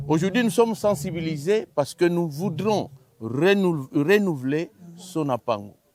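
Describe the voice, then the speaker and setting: At a fairly slow pace, a man talks in a high pitch with lively intonation. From Republic of the Congo. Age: 60s. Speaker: choir honorary president. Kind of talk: interview.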